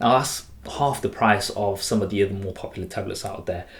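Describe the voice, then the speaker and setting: Somewhat breathy and very fast, the speech comes in a strong Leicester accent. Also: man. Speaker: tech reviewer. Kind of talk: product review. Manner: casual.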